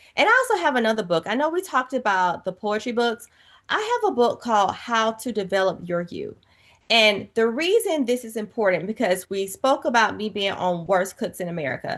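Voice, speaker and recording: An animated woman with a Southern US accent speaks at a fairly quick pace and fairly high pitch. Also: lively intonation, quiet background. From US South, Georgia. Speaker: author and TV personality. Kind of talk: interview conversation.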